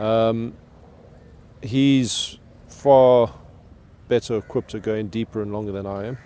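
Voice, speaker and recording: A man's dark, mellow voice at a fairly slow pace, broken by long, frequent pauses. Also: medium pitch for a man, fairly even intonation. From South Africa. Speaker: spearfisherman. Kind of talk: interview answer.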